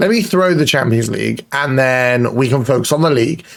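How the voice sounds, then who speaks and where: A man with a British accent, lively intonation and a moderate pace. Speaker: football manager gaming youtuber. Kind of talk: gaming commentary. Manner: casual, conversational.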